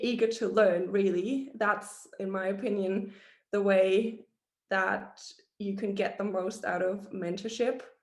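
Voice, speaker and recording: Heard with audible room echo, a woman talks very slowly at a medium pitch, her intonation monotone and flat. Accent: non-native. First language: not English. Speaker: hospitality professional, mentee. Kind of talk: panel presentation on video call. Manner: halting, many fillers.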